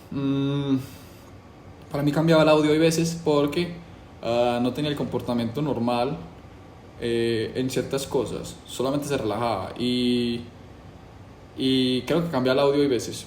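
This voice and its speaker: The speaker talks at a fairly slow pace with ordinary pitch variation. Long, frequent pauses break up the speech, and room echo is audible. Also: man, medium pitch for a man. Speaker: YouTuber doing a challenge. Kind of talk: casual monologue to camera. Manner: casual, hesitant with fillers.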